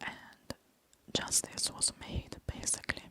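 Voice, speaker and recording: A very slow whisper in an Italian accent over noticeable background noise. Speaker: ASMR creator. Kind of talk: ASMR chatty review. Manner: whispered.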